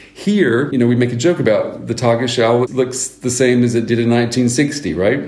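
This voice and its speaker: With an American accent and a medium pitch, a man talks with ordinary pitch variation amid noticeable background noise and audible room echo. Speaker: news anchor. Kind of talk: interview.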